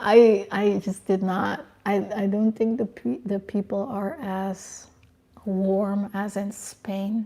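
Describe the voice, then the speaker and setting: Somewhat breathy with a dark, mellow tone, a woman speaks at a medium pitch and a very slow pace. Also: fairly even intonation. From Curacao. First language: Papiamentu. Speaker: lifestyle and fashion YouTuber. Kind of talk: livestream chat reading comments. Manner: casual, hesitant with fillers.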